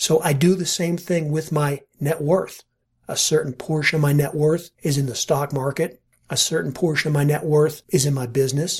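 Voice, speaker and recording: A somewhat breathy man speaks at a moderate pace, his pitch fairly high and his intonation fairly even. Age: 50s. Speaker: podcast host and money manager. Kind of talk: solo podcast monologue. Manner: casual, conversational.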